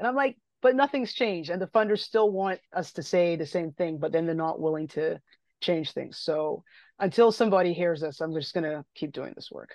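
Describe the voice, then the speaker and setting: In a quiet background with a dry, close sound and no echo, a woman with a fairly low pitch speaks at a moderate pace, her intonation lively and her loudness swinging widely. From Barbados. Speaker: midwife and public health consultant. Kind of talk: interview, casual conversation.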